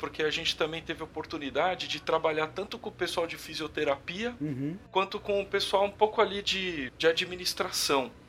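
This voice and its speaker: A man speaks at a moderate pace with a fairly high pitch. His pitch varies in an ordinary way, and background noise is noticeable. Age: 30s. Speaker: electrical engineer. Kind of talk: interview, casual conversation.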